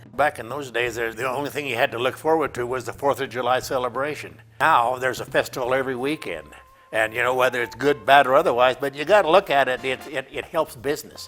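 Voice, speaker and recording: Very fast speech from a man at medium pitch with ordinary pitch variation, music in the background. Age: 80s+. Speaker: longtime local resident. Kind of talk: interview.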